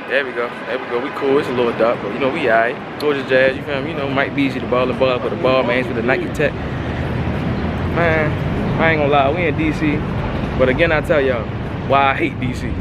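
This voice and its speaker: Loud background noise behind a man speaking at a very fast pace. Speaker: vlogger. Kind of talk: casual vlog chat. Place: street. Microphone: phone near.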